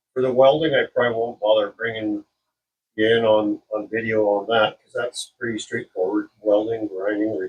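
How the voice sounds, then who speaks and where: A somewhat breathy man at a medium pitch and moderate pace. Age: 60s. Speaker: car restoration hobbyist. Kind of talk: tutorial. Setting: workshop. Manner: casual, halting with many fillers.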